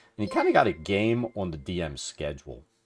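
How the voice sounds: A man speaks at a fairly quick pace and a low pitch, with very wide pitch swings and a slightly husky edge. The recording is very clean, with a silent background.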